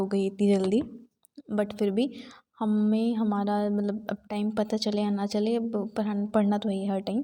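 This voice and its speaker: Soft-spoken and dark, mellow in tone, a woman talks at a fairly high pitch with monotone, flat intonation. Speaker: exam aspirant vlogger. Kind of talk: casual vlog talk. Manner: soft-spoken, quiet.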